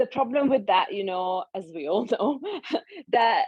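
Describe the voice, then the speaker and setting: A woman speaks at a very slow pace. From Hungary. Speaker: nutritional therapist. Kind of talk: interview.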